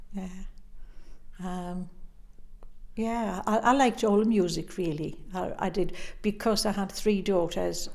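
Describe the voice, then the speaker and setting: A woman with a Northumbrian accent speaks at a fairly slow pace with fairly even intonation. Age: 80s+. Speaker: interviewee in oral history project. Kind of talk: interview.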